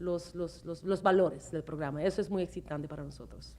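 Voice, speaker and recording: A woman of medium pitch with a non-native accent, fairly quick pace and ordinary pitch variation. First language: not Spanish (speaking Spanish). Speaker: TV show host. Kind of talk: interview. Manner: halting.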